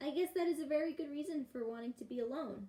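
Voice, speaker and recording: Using a put-on character voice, a woman talks at a very fast pace and a high pitch. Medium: read story.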